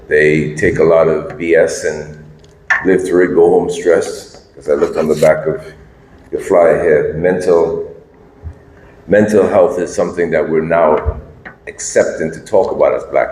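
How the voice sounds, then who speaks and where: A man talks at a moderate pace. Audible room echo surrounds the voice. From St. Lucia. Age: 60s. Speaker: business consultant speaker. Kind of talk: talk at a meeting. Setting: hotel meeting room with audience.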